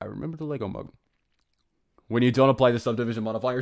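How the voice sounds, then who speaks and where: In an American accent, a man talks in an animated tone. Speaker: animator and streamer. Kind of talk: casual live stream chat. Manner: fast.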